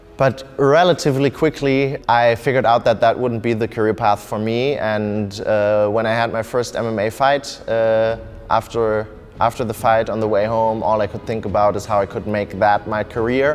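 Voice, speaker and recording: There is noticeable background noise as a man of medium pitch talks at a moderate pace with fairly even intonation. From Germany (Bonn), partly Russia and Kenya. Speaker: MMA fighter. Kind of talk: interview testimony.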